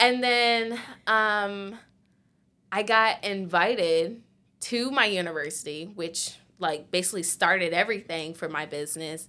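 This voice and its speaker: Here a woman with an American accent speaks at a fairly slow pace in a bright, sharp tone. Her pitch is medium with ordinary variation, and the recording is very clean with a silent background. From Virginia, Chesapeake (Hampton Roads). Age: 20s. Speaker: entrepreneur with marine biology background. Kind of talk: interview storytelling.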